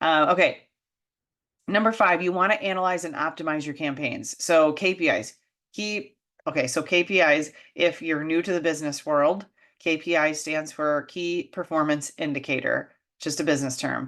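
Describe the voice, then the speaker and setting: A woman speaks with a very deep, low pitch and ordinary pitch variation. The background is quiet. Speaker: business coach. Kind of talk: tutorial. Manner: fast; animated.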